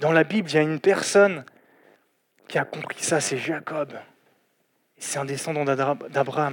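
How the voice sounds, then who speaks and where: The man speaks at a fairly slow pace with a fairly high pitch, ordinary pitch variation, and long, frequent pauses. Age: 20s. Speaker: lay preacher. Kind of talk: sermon. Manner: halting.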